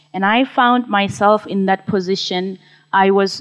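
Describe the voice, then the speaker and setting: A woman talks in a Zimbabwean accent. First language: Shona. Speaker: social entrepreneur, mushroom farmer. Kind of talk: conference talk.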